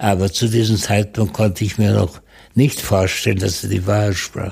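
A man talks at fairly low pitch with a somewhat breathy voice. His pace is moderate, and his pitch varies in an ordinary way. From Czechoslovakia, northern Moravia. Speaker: Holocaust survivor and eyewitness. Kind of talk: testimony.

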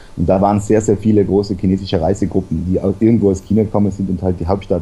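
Over music in the background, a man with a very deep, low pitch talks at a very fast pace in a monotone with flat intonation. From South Tyrol. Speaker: travel blogger. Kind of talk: casual interview.

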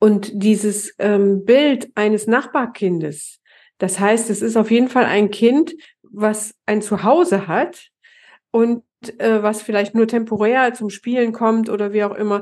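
Over a quiet background, a woman with a fairly high pitch and ordinary pitch variation speaks very slowly. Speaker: stepfamily therapist and author, podcast co-host. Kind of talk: conversational podcast discussion. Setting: home office, online recording.

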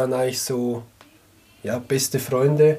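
A man with an unremarkable speaking voice speaks at a moderate pace, his fairly high pitch held in fairly even intonation. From Switzerland, canton of Glarus. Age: 30s. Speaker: sock business co-founder. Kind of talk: casual interview chat. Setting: studio, in person.

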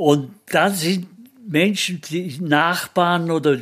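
High in pitch, a man speaks at a very slow pace. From Austria, Bregenzerwald (Vorarlberg). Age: 80s+. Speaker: sculptor. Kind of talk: interview. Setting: his workshop.

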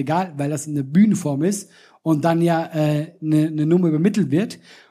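On a very clean recording with a silent background, a man talks fairly quickly in a high pitch, with a dark, mellow tone and ordinary pitch variation. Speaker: comedian and podcast host. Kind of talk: live podcast recording with audience banter. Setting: live stage with audience, outdoors in rain.

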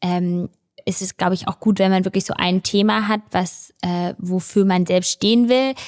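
A woman with a plain, everyday voice talks at a moderate pace. Her pitch is medium and her intonation fairly even. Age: 20s. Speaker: content creator and business angel. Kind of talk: casual interview. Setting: at her home.

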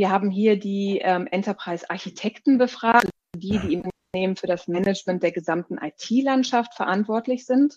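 A somewhat breathy woman talks at a medium pitch and a moderate pace with ordinary pitch variation, the sound dry and close with no echo. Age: 30s. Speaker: product marketing director. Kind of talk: interview. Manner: hesitant, many filler sounds.

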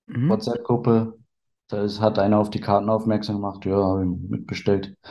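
The voice has a dark, mellow tone and moves at a moderate pace with monotone, flat intonation. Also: man. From Berlin, teens in Bavaria (Upper Palatinate). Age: 30s. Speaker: trading card collector. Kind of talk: casual chat.

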